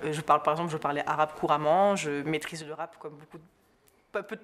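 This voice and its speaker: A woman speaks in a fairly low pitch with a slight southern French accent. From southern France. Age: young. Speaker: journalist. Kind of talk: interview. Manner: fast; hesitant.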